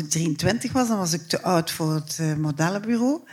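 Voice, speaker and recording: With a Flemish accent, a woman speaks in a fairly low pitch using lively intonation. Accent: Flemish Dutch. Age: 60s. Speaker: writer and theatre maker. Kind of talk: live interview before audience. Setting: stage with audience. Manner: halting.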